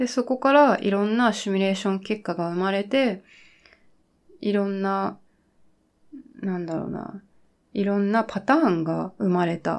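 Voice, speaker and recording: Her pitch sits in the medium range for a woman, with ordinary variation. She keeps a moderate pace, marked by long, frequent pauses. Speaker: YouTuber. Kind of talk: casual solo talk. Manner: hesitant with fillers.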